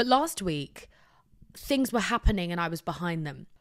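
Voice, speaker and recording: An animated tone at a fairly quick pace in a British accent, on a very clean recording with a silent background. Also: woman. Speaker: podcast host. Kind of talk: casual monologue. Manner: soft-spoken.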